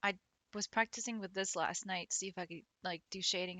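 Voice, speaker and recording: With an American accent, a woman speaks fairly quickly at a medium pitch in a flat, monotone delivery. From Pennsylvania, Philadelphia area. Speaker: streamer and digital artist. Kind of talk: casual livestream chat. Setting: home livestream. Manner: chatty, filler-heavy.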